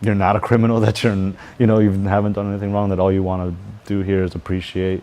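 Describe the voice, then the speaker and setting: A man with an American accent talks at a very fast pace. His tone is dark and mellow, his intonation flat and monotone. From Texas. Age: young. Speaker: student interviewee. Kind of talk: news interview. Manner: halting.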